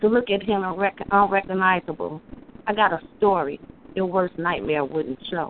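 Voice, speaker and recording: A woman's ordinary speaking voice at a moderate pace. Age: 30s. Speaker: caller and poet. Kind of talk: spoken word poetry. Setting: phone call.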